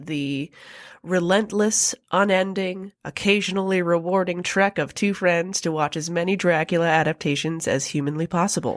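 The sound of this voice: A woman speaks at a moderate pace. Her pitch is fairly low and her intonation fairly even.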